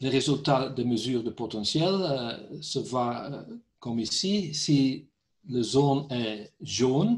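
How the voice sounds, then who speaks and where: A man speaks at a medium pitch with a Dutch accent. His voice is somewhat breathy. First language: Dutch (speaking French). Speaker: company director, concrete repair specialist. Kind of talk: technical webinar presentation. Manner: halting, hesitant.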